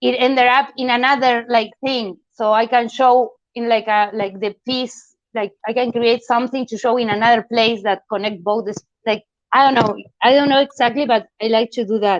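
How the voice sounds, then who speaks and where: Recorded with a dry, close sound with no echo, a woman with a non-native accent speaks at a moderate pace in a fairly high pitch. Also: fairly even intonation. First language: not English. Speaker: artist. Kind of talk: art critique discussion. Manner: halting.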